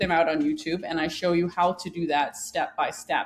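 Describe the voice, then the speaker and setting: A woman's medium-pitched speech is heard against noticeable background noise. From Denmark. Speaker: woodworking YouTuber and plan designer. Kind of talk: podcast interview.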